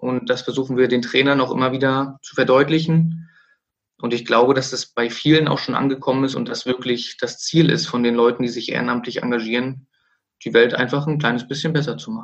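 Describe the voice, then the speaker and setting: Using an unremarkable speaking voice, a man speaks at a fairly quick pace with a medium pitch and fairly even intonation. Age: 30s. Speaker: sports club director and coach. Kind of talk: interview.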